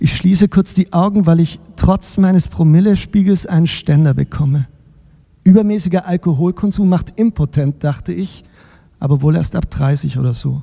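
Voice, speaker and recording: A man speaks with a dark, mellow tone at a high pitch. The sound is dry and close, with no echo. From Baden-Württemberg, Germany. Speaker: novelist reading his own book.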